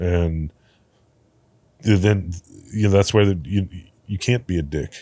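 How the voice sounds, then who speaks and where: With a very deep, low pitch and a dark, mellow tone, a man speaks at a fairly slow pace with long, frequent pauses and ordinary pitch variation, on a very clean recording with a silent background. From New Orleans, Louisiana. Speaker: bar operator. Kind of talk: casual interview chat. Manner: halting, many repeated words.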